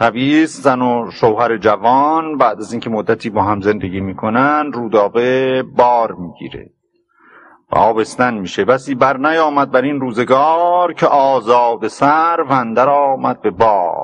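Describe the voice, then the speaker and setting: A man talks at a fairly slow pace, his medium pitch showing ordinary variation. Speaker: literature professor. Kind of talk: lecture on classical poetry. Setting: old cassette recording. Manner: storyteller-like, plain and clear.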